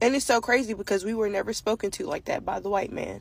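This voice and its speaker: A woman's fairly high voice, animated in tone, with vocal fry. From Africa. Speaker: social media commentator. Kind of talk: monologue.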